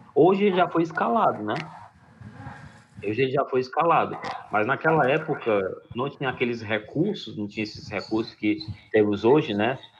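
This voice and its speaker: Delivery is at a moderate pace with lively intonation and long, frequent pauses. Noticeable background noise is present. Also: man, medium pitch for a man. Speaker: school teacher. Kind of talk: lecture. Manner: halting.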